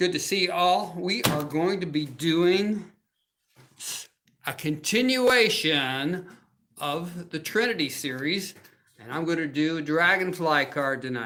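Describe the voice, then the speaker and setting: Animated and bright with a sharp tone, a man speaks at a high pitch and a fairly slow pace, his intonation lively and broken by long, frequent pauses. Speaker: crafting demo host. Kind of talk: live crafting show with sales pitch. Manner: loud.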